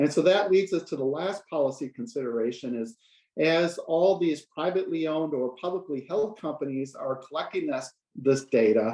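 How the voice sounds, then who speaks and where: Intonation rises and falls in a lively way as a man talks. His tone is dark and mellow. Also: fairly high pitch for a man. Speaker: researcher presenting a report. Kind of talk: online presentation. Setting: online video call. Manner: fast.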